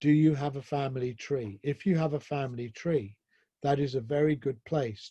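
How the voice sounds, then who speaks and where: A man with a southern English accent at a moderate pace, medium in pitch with ordinary variation, dark and mellow in tone, somewhat breathy, against a quiet background. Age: 60s. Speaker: professor, speaker. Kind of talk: lecture, personal testimony. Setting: online presentation with slides.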